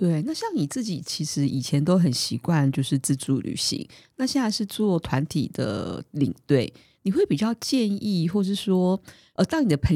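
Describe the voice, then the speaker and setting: A woman's fairly low, somewhat breathy voice in a dark, mellow tone, with very wide pitch swings at a moderate pace, dry and close with no echo. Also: very clean recording, silent background. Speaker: podcast host. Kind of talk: casual chat.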